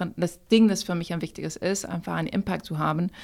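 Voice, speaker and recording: A woman's medium-pitched voice in a French accent, with fairly even intonation, on a very clean recording with a silent background. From France, raised in many countries. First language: French (speaking German). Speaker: company founder. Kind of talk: interview. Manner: halting.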